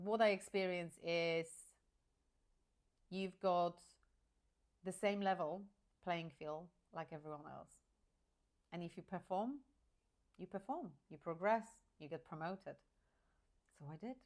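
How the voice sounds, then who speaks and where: A woman with a fairly low pitch talks at a fairly slow pace, leaving long, frequent pauses. Her loudness swings widely while her pitch varies in an ordinary way. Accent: Polish. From rural Poland. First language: Polish. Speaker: career coach. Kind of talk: personal story monologue. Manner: hesitant, with fillers and restarts.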